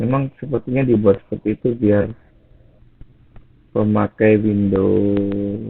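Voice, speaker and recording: Very slowly and with long, frequent pauses, a man speaks at a fairly low pitch with fairly even intonation. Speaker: tech youtuber. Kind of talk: tutorial. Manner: low energy.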